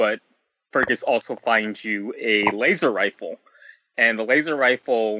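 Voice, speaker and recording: A man in a normal speaking voice, medium in pitch, at a fairly slow pace with ordinary pitch variation. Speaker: video game podcast panelist. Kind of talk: casual chat.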